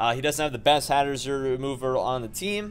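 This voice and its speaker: With music in the background, a man talks in a fairly high pitch and lively intonation. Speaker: Pokemon battle commentator. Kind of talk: live gameplay commentary. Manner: fast; animated.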